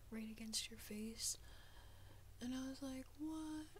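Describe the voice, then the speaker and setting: Whispering and soft-spoken, a woman talks at a moderate pace over light background noise. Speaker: ASMR content creator. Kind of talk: casual talk to camera. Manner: soft-spoken, whispered. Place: home room. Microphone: studio mic.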